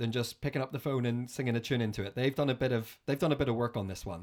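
A man with a Northern Irish accent at a very fast pace, medium-pitched with ordinary pitch variation and hardly any pauses. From Northern Ireland. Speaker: podcast host. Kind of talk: casual chat.

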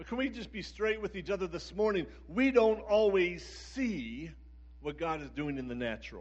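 A man with an American accent at a moderate pace, with big swings in loudness and audible room echo. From US Northeast, Philadelphia area. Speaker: pastor. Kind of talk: sermon. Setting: church service with live audience.

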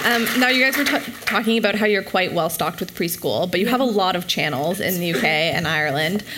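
A woman at a medium pitch speaks at a fairly quick pace with lively intonation amid noticeable background noise. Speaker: conference panel moderator. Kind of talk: moderated panel discussion. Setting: stage with audience.

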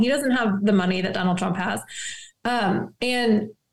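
A woman talks in a normal speaking voice at a moderate pace. Her pitch variation is ordinary. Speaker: attorney and campaign staffer. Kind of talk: friendly political interview.

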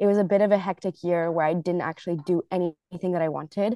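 A woman with a slight American accent talks fairly quickly at a medium pitch, with ordinary pitch variation. The sound is dry and close, with no echo. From grew up moving abroad, largely China. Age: 20s. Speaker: triathlete. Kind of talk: casual interview.

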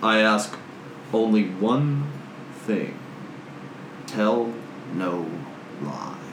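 Putting on a character voice, a man sounds booming and resonant at a fairly low pitch, speaking at a very slow pace with long, frequent pauses over clear background noise. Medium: actual play. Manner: solemn, formal, grave.

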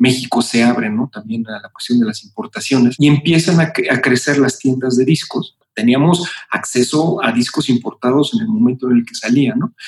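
In an unremarkable speaking voice, a man at medium pitch talks at a moderate pace with hardly any pauses, ordinary pitch variation and big swings in loudness. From Mexico City. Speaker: music and marketing executive. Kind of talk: interview.

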